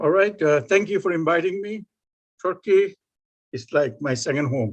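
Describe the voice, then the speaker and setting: A man with a Bengali accent speaks at a fairly slow pace with lively intonation. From Bangladesh. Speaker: professor. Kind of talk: lecture.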